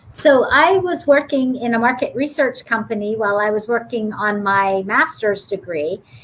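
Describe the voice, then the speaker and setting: Over noticeable background noise, a woman with an American accent talks at a moderate pace with hardly any pauses, her fairly high pitch carried by lively intonation. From Youngstown, Ohio. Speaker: business school dean. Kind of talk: panel interview.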